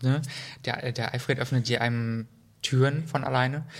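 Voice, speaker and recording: Heard in a very clean recording with a silent background, a man speaks at a medium pitch. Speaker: podcast co-host. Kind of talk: casual interview chat. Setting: in person, Cologne.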